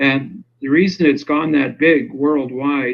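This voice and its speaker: A man's fairly high-pitched voice at a fairly slow pace, an ordinary speaking voice. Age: 60s. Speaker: self-styled legal grammar expert. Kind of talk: interview.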